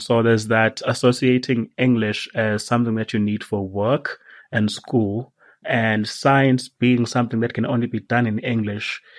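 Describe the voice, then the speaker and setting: At a moderate pace and against a quiet background, the speaker talks with a Zulu accent in monotone, flat intonation. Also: man, medium pitch for a man. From South Africa. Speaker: science writer. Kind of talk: podcast interview. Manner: halting.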